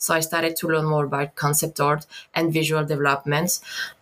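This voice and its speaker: A woman with a French accent speaks in a very deep, low voice. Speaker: concept artist. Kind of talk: interview. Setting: video call. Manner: halting.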